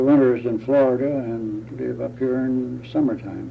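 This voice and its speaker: Speaking in a mid-range pitch, a man's voice carries audible room echo along with noticeable background noise. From US Midwest (Indiana). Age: 80s+. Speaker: retiree interviewee. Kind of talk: oral history interview. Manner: halting.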